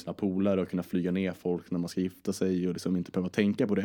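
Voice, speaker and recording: A man speaks over a quiet background. His voice is very deep and low, with a dark, mellow tone. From Sweden, Stockholm area and Södermanland. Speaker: entrepreneur. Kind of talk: casual interview. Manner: animated.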